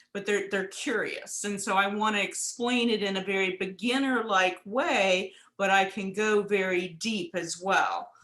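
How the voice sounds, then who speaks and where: The voice has a bright, sharp tone, moving at a fairly slow pace with fairly even intonation. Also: woman. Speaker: astrology and hand analysis teacher. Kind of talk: casual chat. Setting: video call.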